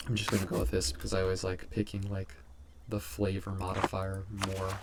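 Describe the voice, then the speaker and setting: A quiet man mumbles at a fairly quick pace, his pitch very deep and low. Noticeable background noise surrounds his voice, which shows ordinary pitch variation. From England. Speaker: gaming YouTuber. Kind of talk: gameplay commentary. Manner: quiet and mumbly; hesitant, many fillers.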